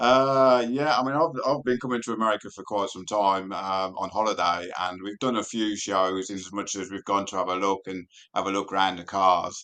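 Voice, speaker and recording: With a British accent, a man talks at a fairly low pitch in a bright, sharp tone, with ordinary pitch variation, a moderate pace and hardly any pauses, over a quiet background. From UK. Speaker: race car driver and car enthusiast. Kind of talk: casual interview.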